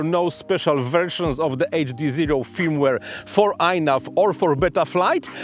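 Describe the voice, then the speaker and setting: Faint music plays behind a man speaking at a fairly slow pace with ordinary pitch variation. The sound is dry, with no echo. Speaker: tech video creator. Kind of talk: explainer vlog talk. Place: open country. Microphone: lapel.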